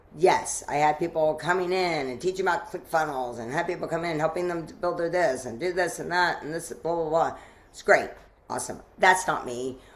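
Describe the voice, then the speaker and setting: In a room with audible echo, a woman with an American accent speaks at a fairly low pitch with ordinary pitch variation. Her loudness swings widely. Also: fairly quick pace. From US South, Asheville, North Carolina. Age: 60s. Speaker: mastermind leader and event organizer. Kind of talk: podcast interview. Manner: halting, many restarts.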